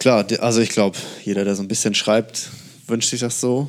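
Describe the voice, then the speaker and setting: Here a man talks at medium pitch and a moderate pace. His intonation is fairly even, and the recording is very clean with a silent background. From northern Germany, near Hamburg. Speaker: writer. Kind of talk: casual chat.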